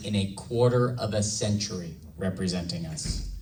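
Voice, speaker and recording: There is audible room echo surrounding this man's voice. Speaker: congressional candidate. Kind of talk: campaign speech.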